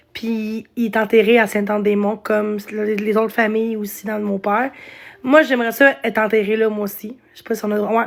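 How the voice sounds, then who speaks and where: In monotone, flat intonation, a woman speaks at a fairly quick pace with a fairly high pitch. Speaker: live streamer. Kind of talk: casual live stream chat. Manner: halting.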